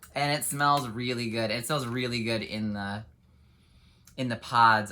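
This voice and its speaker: Bright and sharp in tone, a man speaks at medium pitch and a moderate pace with fairly even intonation, with audible room echo. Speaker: independent home fragrance consultant and haul vlogger. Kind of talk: casual product haul video. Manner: chatty with frequent fillers.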